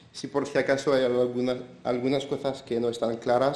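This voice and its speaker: A man with a French accent and a medium pitch speaks at a fairly slow pace in a monotone, flat intonation, with audible room echo. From France. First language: French (speaking Spanish). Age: 70s. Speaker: pastry chef. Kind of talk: conference talk.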